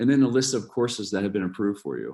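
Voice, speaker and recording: Little sound comes from the background. The voice is heard in an American accent. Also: man. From Ohio, US. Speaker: university study abroad advisor. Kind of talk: informational presentation. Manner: halting, many fillers and repeats.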